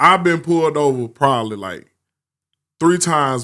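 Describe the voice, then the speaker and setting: Fairly quick speech from a man, with ordinary pitch variation, on a very clean recording with a silent background. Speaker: podcast co-host. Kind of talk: casual chat. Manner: loud.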